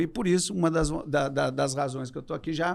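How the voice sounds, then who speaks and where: The recording is very clean, with a silent background. A man with a normal speaking voice talks fairly quickly at a fairly high pitch. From southern Brazil, Porto Alegre. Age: 50s. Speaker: business executive. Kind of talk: podcast interview.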